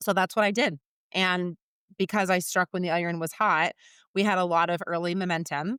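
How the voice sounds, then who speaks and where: A loud woman talks at a medium pitch with a bright, sharp, animated tone. The recording is very clean with a silent background. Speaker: recruiter and business founder. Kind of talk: podcast interview.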